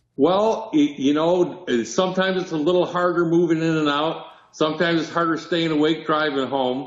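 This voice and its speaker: There is noticeable background noise and audible room echo as a man speaks at a moderate pace with a fairly high pitch and fairly even intonation. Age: 70s. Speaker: touring performer. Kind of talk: casual interview.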